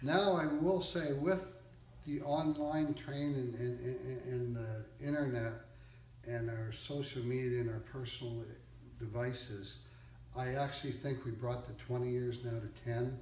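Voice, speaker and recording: Through noticeable background noise and audible room echo, a man talks at a medium pitch and a fairly slow pace with ordinary pitch variation. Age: 60s. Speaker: used car dealer, business owner. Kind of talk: interview, motivational advice.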